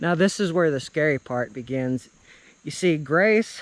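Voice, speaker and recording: A man speaks at a fairly slow pace. The sound is dry, with no echo. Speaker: vlogger storyteller. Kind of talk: casual vlog narration of local legend. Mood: storytelling, slightly eerie topic. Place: open country. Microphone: phone near.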